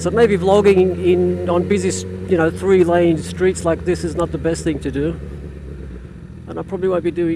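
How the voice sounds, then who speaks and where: Noticeable background noise runs under a man whose voice makes very wide pitch swings. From Australia. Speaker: motorcycle vlogger. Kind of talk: casual vlog monologue while riding. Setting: riding a motorcycle in traffic. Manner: hesitant, repetitive fillers.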